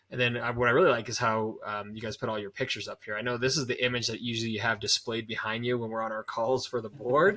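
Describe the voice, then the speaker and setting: A medium-pitched man's voice, bright and sharp in tone, at a very fast pace with hardly any pauses and fairly even intonation. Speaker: podcast host and marketing consultant. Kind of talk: casual interview. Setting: video call.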